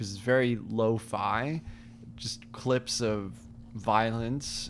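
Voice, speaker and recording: A man talks in a fairly low pitch with fairly even intonation. His is an unremarkable speaking voice. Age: young. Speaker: music podcast co-host. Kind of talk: casual chat.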